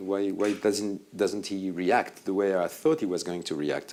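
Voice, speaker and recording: With a French accent, a man speaks at a moderate pace and fairly low pitch, his pitch varying an ordinary amount. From France. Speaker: film editor. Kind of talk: interview on stage. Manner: hesitant.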